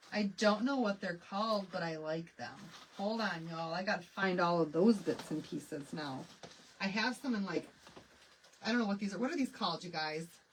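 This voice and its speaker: The delivery is animated and fairly quick, with lively intonation, over noticeable background noise. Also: woman, medium pitch for a woman. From Michigan. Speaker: craft live streamer. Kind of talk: live craft tutorial chat. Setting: live stream. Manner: chatty, animated.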